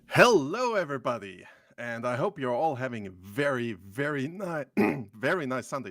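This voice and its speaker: A man's hoarse, put-on character voice at a medium pitch and a moderate pace. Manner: friendly, welcoming.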